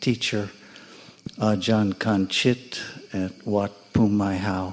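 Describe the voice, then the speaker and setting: With an American accent, a man speaks in a fairly low pitch and a monotone, flat intonation against noticeable background noise. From United States. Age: 70s. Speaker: meditation student. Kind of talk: personal testimony.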